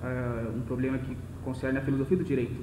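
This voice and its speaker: A man speaks at a very fast pace. Noticeable background noise and audible room echo fill the recording. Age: 20s. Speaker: lecturer on philosophy of law. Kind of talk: lecture. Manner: slightly slurred, occasional stutter.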